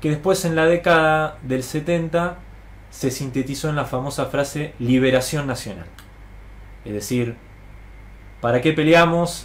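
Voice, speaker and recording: Here a man talks at a moderate pace with a medium pitch and ordinary pitch variation. His voice is somewhat breathy, and audible room echo surrounds it. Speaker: political educator. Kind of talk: lecture. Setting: live stream to online audience.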